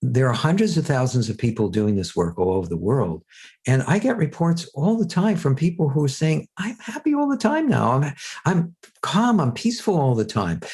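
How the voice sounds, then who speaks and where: A somewhat breathy man's voice, fairly high in pitch, at a moderate pace with very wide pitch swings. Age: 60s. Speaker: self-help teacher and author. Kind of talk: podcast interview. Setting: podcast.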